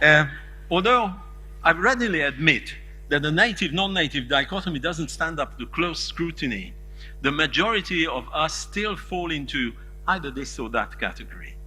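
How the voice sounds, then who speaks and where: A man with a Hungarian accent talks at a moderate pace. Music plays in the background, and room echo is audible. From Hungary. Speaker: conference keynote speaker. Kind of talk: lecture.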